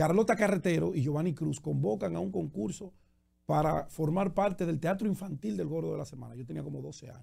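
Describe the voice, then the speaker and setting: A man with a dark, mellow tone and vocal fry talks very fast, his pitch swinging very widely. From Dominican Republic, Santo Domingo. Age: 50s. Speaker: journalist and political candidate. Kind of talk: radio interview.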